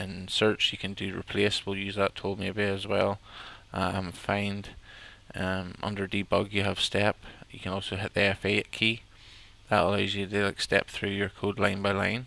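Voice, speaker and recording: A man with an Irish accent speaks in a monotone, flat intonation at a fairly low pitch, his tone bright and sharp in a dry sound with no echo. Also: moderate pace. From Ireland. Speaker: software tutorial presenter; presenter. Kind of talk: tutorial. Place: home room. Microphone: headset.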